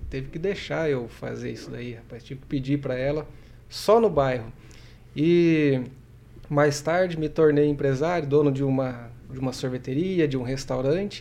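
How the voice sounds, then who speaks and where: A man with a dark, mellow tone and a fairly high pitch speaks at a moderate pace with ordinary pitch variation. His loudness swings widely, and the room echo is audible. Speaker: professor and administrator. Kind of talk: casual interview chat.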